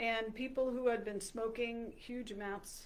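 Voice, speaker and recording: A woman with an American accent talks at a fairly slow pace with fairly even intonation. Audible room echo surrounds her voice. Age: 60s. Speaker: health coach. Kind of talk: talk to camera. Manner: halting, many fillers.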